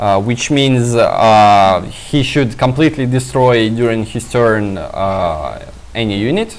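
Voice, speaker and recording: Over noticeable background noise, a man with a Russian accent speaks very slowly at a medium pitch with ordinary pitch variation. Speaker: game stream commentator. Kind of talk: live commentary. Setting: live stream. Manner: halting.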